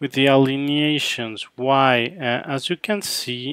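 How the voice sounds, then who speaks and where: A man's medium-pitched voice with a Mexican accent. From Mexico City. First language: Spanish. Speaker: photographer. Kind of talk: live editing session commentary. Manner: halting, many fillers.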